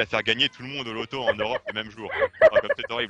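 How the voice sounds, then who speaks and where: Music plays in the background as a man speaks. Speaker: cartoon reviewer. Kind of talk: live stream review. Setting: live stream. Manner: halting.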